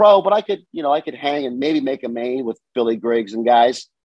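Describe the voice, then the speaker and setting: A man with an American accent talks in an ordinary speaking voice with ordinary pitch variation. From Southern California, US. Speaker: bicycle shop owner. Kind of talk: casual interview chat.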